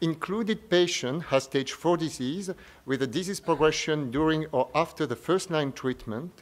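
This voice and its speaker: A man with a French accent, fairly high-pitched, at a moderate pace. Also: ordinary pitch variation. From France. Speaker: medical oncologist. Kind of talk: conference press briefing presentation. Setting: press briefing at a medical conference. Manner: formal.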